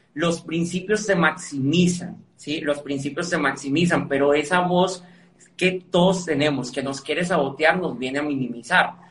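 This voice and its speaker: Fairly even in intonation, a man speaks at a fairly high pitch. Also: fairly slow pace. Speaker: motivational speaker and author. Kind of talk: interview.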